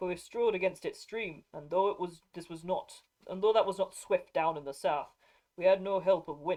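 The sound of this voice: Over a quiet background, an unforced reading voice carries lively intonation.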